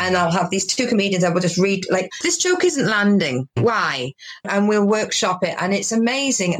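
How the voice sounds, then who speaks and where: A woman with a Welsh accent speaks at a moderate pace with lively intonation. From Wales. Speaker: stand-up comedian. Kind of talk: casual interview chat. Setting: video call.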